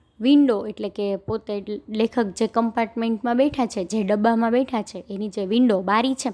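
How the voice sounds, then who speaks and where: This woman's fairly high voice has a dark, mellow tone and fairly even intonation, captured in a very clean recording with a silent background. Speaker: English teacher. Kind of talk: lecture.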